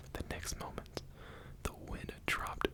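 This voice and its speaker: Whispering at a fairly slow pace, a man is heard over noticeable background noise. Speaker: ASMR creator. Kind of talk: bedtime story reading. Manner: whispered.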